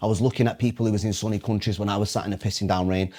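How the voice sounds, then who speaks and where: A man with a Mancunian accent speaks at a very fast pace in a fairly low voice with a passionate tone and ordinary pitch variation. The recording is very clean, with a silent background. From Manchester, northern England. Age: 20s. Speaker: motivational speaker. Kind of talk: podcast interview.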